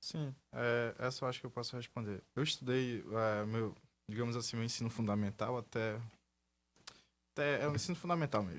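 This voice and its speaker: A man with a medium pitch and ordinary pitch variation speaks at a fairly quick pace with long, frequent pauses, on a very clean recording with a silent background. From Amazonas, Brazil (São Gabriel da Cachoeira). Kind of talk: radio interview.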